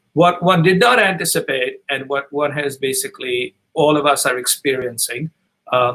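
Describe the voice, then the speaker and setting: A man's bright, sharp-toned voice at a moderate pace, with ordinary pitch variation. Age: 60s. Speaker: author and business advisor. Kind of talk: webinar talk.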